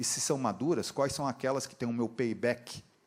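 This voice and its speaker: A man is talking. His pace is fairly quick. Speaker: engineering professor and industry training director. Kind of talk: conference lecture. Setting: stage with audience, live interpreter. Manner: fast; casual, conversational.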